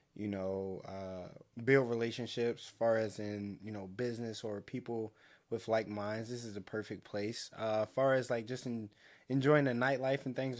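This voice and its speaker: This man has an ordinary speaking voice with a medium pitch and fairly even intonation at a moderate pace. The recording is very clean, with a silent background. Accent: American. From Baltimore, Maryland. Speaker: podcast co-host. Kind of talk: casual chat.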